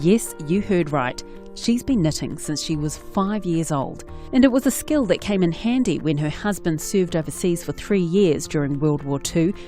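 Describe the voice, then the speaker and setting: Music plays in the background as a woman speaks in a fairly low pitch. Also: lively intonation, moderate pace. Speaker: radio news reporter. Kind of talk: news report narration.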